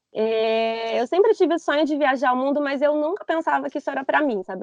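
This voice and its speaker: A woman talks at a moderate pace in an ordinary speaking voice. Her intonation is lively. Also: dry, close sound with no echo. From Brazil, interior of São Paulo state. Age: 30s. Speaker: backpacker, former marketing professional. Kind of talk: podcast interview.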